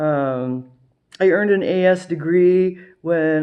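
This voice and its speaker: A woman with a Midwestern American accent speaks with ordinary pitch variation. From US Midwest, Ohio. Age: 50s. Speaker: retiree vlogger. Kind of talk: casual monologue. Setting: at home with a cocktail.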